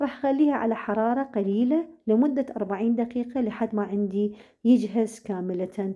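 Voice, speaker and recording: Speaking in an Iraqi accent, a woman with a fairly high pitch uses ordinary pitch variation at a moderate pace. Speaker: cooking channel host. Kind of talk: cooking tutorial. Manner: halting, many fillers.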